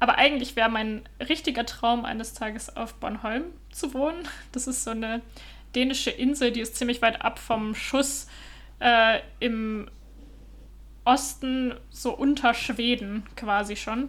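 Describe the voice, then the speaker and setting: A woman's fairly high voice, fairly slow and fairly even in intonation, with long, frequent pauses. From Germany. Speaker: podcaster living abroad. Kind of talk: casual chat.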